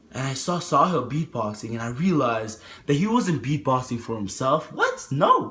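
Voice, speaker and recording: A man is speaking. His tone is animated. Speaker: motivational vlogger. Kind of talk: motivational talk to camera.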